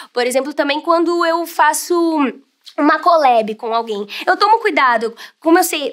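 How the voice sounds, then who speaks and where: A high-pitched woman's voice with lively intonation and long, frequent pauses against a quiet background. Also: moderate pace. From Brazil, São Paulo. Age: 20s. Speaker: voice actor and youtuber; voice actor, youtuber. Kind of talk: interview monologue. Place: studio.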